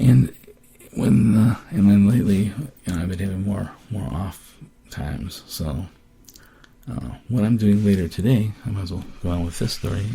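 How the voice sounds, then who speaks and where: With lively intonation and a fairly low pitch, a man talks at a moderate pace, leaving long, frequent pauses. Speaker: person with Parkinson's disease. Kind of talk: casual podcast talk. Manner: hesitant, many fillers.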